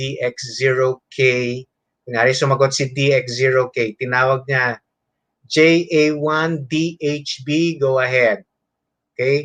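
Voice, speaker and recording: Someone with a Filipino accent talks at a fairly slow pace. The sound is dry and close, with no echo. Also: man, medium pitch for a man, fairly even intonation. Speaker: amateur radio instructor. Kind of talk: lecture. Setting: online webinar. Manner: code-switching between English and Tagalog.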